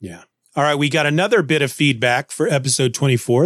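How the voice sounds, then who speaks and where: With an American accent and a plain, everyday voice, a man talks at a fairly quick pace with ordinary pitch variation, in a very clean recording with a silent background and a dry, close sound with no echo. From Kansas, US Midwest. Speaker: podcast host. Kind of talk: casual chat.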